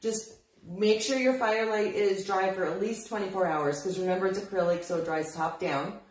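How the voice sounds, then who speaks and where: There is audible room echo as a woman talks at a moderate pace, with a medium pitch and ordinary pitch variation. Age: 50s. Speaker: craft shop owner teaching furniture painting; paint instructor. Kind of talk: live-streamed painting tutorial. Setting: Facebook live video in her store. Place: shop. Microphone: phone near.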